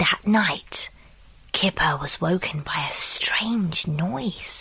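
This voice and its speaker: A woman whispers very slowly. There is noticeable background noise. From United Kingdom. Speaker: voice actor. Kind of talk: children's story reading.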